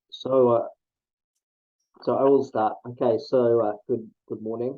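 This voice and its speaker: A man talks at a medium pitch and a fairly slow pace. His intonation is flat and monotone. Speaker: athletics statistician, interviewer. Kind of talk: interview questions. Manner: hesitant, many fillers.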